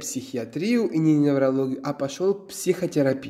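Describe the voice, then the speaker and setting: Speaking at a very slow pace, a man talks with a Georgian accent. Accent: Georgian-accented Russian. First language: Georgian (speaking Russian). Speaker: psychotherapist. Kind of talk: interview. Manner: halting.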